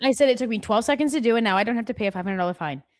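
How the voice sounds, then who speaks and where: A put-on character voice, mumbling at a very fast pace with lively intonation. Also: woman, fairly high pitch for a woman. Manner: mumbling, words run together.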